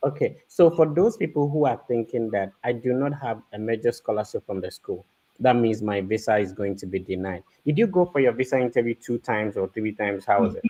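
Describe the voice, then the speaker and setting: Lively intonation marks this man's speech, delivered at a fairly quick pace. His tone is dark and mellow. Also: medium pitch for a man. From Ghana. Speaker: podcast host; livestream host. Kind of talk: interview. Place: home room. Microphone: studio mic.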